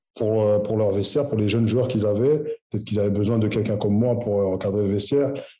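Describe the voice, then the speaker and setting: Amid audible room echo, a man with a dark, mellow tone and fairly low pitch talks at a very fast pace with ordinary pitch variation. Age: 30s. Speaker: footballer. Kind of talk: interview. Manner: halting.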